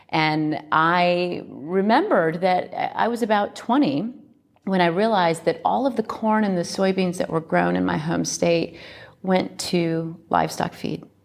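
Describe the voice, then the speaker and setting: With a plain, everyday voice and an American accent, a woman speaks slowly-ish, fairly low in pitch, her intonation lively. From US Midwest, Iowa. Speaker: company co-founder. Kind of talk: interview.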